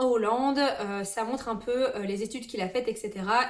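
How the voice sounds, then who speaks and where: In a room with audible echo, a woman speaks at a moderate pace in a fairly high voice with fairly even intonation. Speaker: booktuber. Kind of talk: casual book collection presentation. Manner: hesitant, many fillers.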